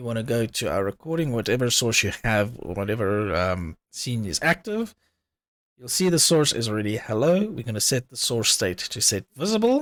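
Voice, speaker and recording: In a dry sound with no echo and a quiet background, a man talks at a moderate pace with very wide pitch swings. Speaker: streaming tutorial creator; streamer. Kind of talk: tutorial. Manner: casual, with filler words. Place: home room. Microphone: headset.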